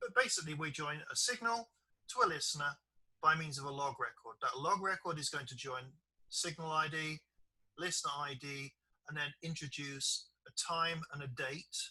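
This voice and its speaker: A man with a British accent speaks at a moderate pace in a bright, sharp tone, his fairly high pitch showing ordinary variation. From Britain. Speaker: software developer and trainer. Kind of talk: online training session.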